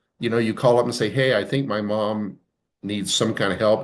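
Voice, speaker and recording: In a quiet setting, a man's voice sits at a medium pitch. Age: 60s. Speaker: insurance advisor on long-term care. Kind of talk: webinar presentation. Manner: frequent fillers and hesitations.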